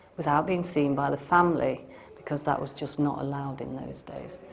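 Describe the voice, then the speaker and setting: In an English accent, a woman with a very deep, low pitch talks at a moderate pace with fairly even intonation. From Staffordshire, England. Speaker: vlogger, former resident of a stately home. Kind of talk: casual talk to camera.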